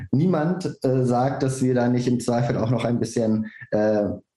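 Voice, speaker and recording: A man speaks at a moderate pace in a plain, everyday voice. His pitch is medium. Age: 30s. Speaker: political candidate. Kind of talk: panel discussion.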